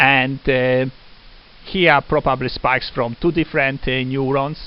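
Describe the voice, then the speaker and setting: A man with a non-native accent speaks fairly slowly and fairly high in pitch, his intonation fairly even. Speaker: lecturer. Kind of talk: lecture. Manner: halting, many fillers.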